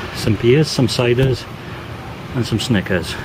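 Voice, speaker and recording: Noticeable background noise sits behind this man's voice. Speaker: holiday vlogger. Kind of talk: casual vlog chat. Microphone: phone near.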